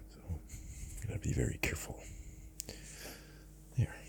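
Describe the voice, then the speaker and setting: Noticeable background noise runs under this recording. A man talks in a relaxed tone. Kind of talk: ASMR soft spoken narration while coloring. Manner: soft-spoken, slow, relaxed.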